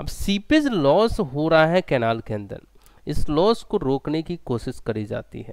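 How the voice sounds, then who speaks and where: Very slow and fairly high, a man's voice moves in very wide pitch swings and big swings in loudness. The sound is dry, with no echo, against a quiet background. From India. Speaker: engineering exam tutor; online exam-prep teacher. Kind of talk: online lecture. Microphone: headset.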